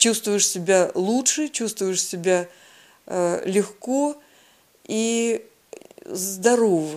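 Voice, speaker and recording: At a very slow pace, a woman talks with medium pitch and ordinary pitch variation, leaving long, frequent pauses. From southern Russia, Krasnodar Krai. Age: 60s. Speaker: patient sharing health story. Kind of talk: personal testimony.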